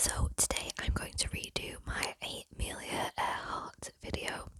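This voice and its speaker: Very slowly, a woman whispers. Background noise is noticeable throughout. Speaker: ASMR youtuber. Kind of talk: ASMR whispered storytelling. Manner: whispering; soft-spoken.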